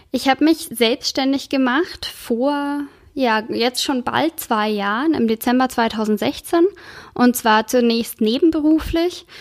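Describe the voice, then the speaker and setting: At a very slow pace, the speaker shows ordinary pitch variation on a dry, close recording with no echo. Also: woman, high pitch for a woman. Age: 30s. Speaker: podcast host and entrepreneur. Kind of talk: solo podcast monologue.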